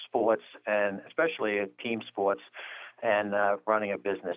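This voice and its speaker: A man's normal speaking voice, fairly low in pitch, with an American accent and a moderate pace. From Jersey City, New Jersey. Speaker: bank executive. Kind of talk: interview.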